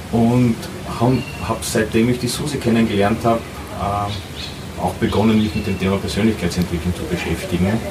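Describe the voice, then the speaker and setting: Pausing long and often, a man with a fairly low pitch and fairly even intonation speaks amid noticeable background noise and audible room echo. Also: moderate pace. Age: 40s. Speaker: traveller. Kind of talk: interview. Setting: outdoors.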